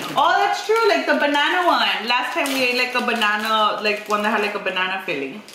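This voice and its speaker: A woman's high voice comes through at a moderate pace, with noticeable background noise and audible room echo. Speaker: mother hosting a family video. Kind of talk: casual vlog chat. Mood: cheerful, upbeat. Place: home room.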